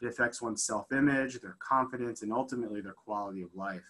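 A man's very fast speech with ordinary pitch variation. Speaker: physician lecturer. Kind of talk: lecture. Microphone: video call.

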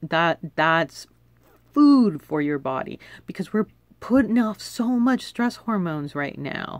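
Heard against a quiet background in a dry recording with no echo, the speaker has an American accent, very wide pitch swings and a fairly slow pace. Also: woman. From Los Angeles, US. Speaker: wellness video blogger; self-care vlogger. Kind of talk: casual monologue to camera; casual vlog chat. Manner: casual, with laughs and fillers. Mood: warm, encouraging. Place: home room. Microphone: phone near.

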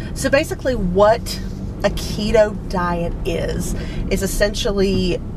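Dry and without echo, a woman's voice competes with noticeable background noise. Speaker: vlogger. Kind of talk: casual vlog chat. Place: car. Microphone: phone near.

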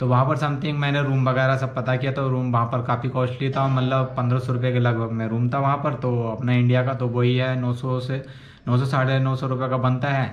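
Fairly quick, monotone male speech with flat intonation and hardly any pauses. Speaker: travel vlogger. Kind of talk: casual vlog chat. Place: home room. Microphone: phone near.

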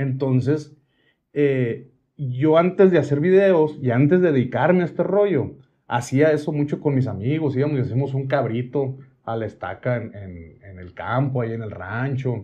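Somewhat breathy, a man speaks at a fairly slow pace. The background is quiet. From Mexico, Sonora (Hermosillo); Sonora. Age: 40s. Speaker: cooking content creator. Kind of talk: casual interview chat. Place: studio.

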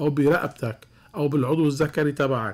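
Somewhat breathy speech from a man. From Lebanon. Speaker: cardiologist; guest. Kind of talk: radio call-in medical advice. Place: studio. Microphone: studio mic.

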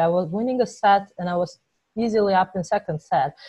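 In a Georgian accent, a woman speaks at a medium pitch, somewhat breathy. The sound is dry with no echo, over a quiet background. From Georgia (Tbilisi). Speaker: professional tennis player. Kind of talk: interview. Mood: reflective, candid storytelling. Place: home room. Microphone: earbuds.

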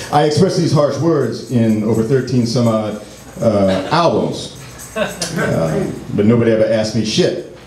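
A man's fairly low voice with audible room echo and light background noise. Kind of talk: spoken word performance. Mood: wry, political, impassioned. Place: stage.

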